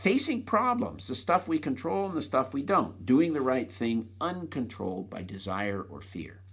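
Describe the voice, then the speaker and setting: This man's voice is somewhat breathy, with ordinary pitch variation. He talks at a moderate pace. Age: 70s. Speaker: author reading his own book. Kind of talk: reading aloud. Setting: recording himself on an iPad.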